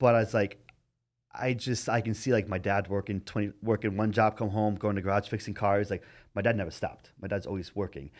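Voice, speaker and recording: On a very clean recording with a silent background, a man with a fairly low pitch talks at a fairly quick pace in an ordinary speaking voice, his intonation fairly even. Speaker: bodybuilder and coach. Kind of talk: casual chat.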